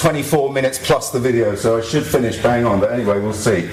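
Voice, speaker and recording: A man talks at a very fast pace. Room echo is audible and background noise is noticeable. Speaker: activist and blogger giving a talk. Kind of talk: conference talk. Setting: stage with audience.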